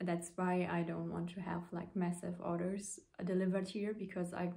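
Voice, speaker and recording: A woman's fairly low, somewhat breathy voice with a dark, mellow tone and monotone, flat intonation at a moderate pace. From Luxembourg. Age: 20s. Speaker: knitting podcaster. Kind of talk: casual vlog talk to camera. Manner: hesitant, many fillers.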